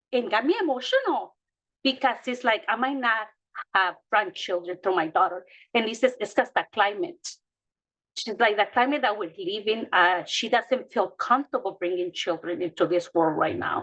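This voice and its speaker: A woman with a Mexican accent speaks at a moderate pace, her fairly high pitch rising and falling in lively intonation. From Mexico. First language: Spanish. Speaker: childcare provider. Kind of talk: panel discussion. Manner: halting.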